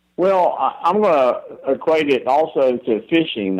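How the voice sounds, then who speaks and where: A man speaks with a Southern US accent. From Florida, US South. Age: 70s. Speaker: elk hunting expert. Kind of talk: podcast interview.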